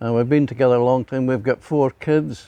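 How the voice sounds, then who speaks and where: A man speaks with a Glaswegian accent in a dark, mellow tone, his medium pitch moving with ordinary variation. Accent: Glaswegian Scottish. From Scotland, Glasgow. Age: 80s+. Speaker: church member. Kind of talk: testimony. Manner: halting.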